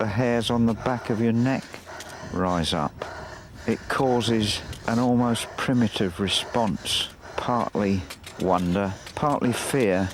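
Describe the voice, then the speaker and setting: Very slow and broken by long, frequent pauses, a man's medium-pitched voice holds very even loudness and ordinary pitch variation over noticeable background noise. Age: 70s. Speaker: painter. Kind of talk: documentary narration.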